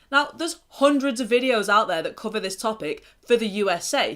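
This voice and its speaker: A woman talks at a fairly quick pace with an English accent. Her fairly high pitch moves in very wide swings. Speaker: mental health vlogger. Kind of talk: casual talk to camera. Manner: pausing often.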